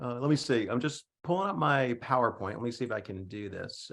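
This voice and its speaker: A man with vocal fry, very wide pitch swings and a moderate pace. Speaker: history professor. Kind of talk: lecture. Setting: video call. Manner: halting.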